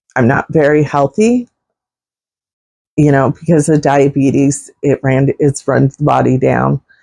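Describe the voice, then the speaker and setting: A woman speaks with a very deep, low pitch and vocal fry, at a fairly slow pace with long, frequent pauses. Her intonation is fairly even, and the sound is dry and close with no echo. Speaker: vlogger. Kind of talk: personal testimony vlog.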